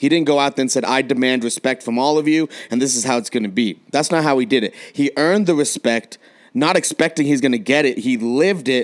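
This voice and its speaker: A man with an unremarkable speaking voice and an American accent talks fairly quickly at a fairly high pitch, with ordinary pitch variation. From San Diego, California. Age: 20s. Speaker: podcast host and coach. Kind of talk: casual chat. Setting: remote recording at separate locations.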